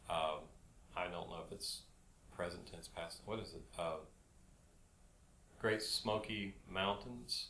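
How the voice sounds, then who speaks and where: A man with a bright, sharp tone and fairly low pitch speaks at a very slow pace with long, frequent pauses and audible room echo. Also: ordinary pitch variation. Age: 60s. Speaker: hiking guide. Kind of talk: casual chat. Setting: studio.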